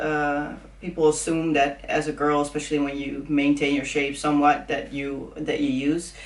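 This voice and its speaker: A woman's very deep, low voice with a Dutch accent, hardly any pauses. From Netherlands. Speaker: fitness influencer. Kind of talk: casual chat.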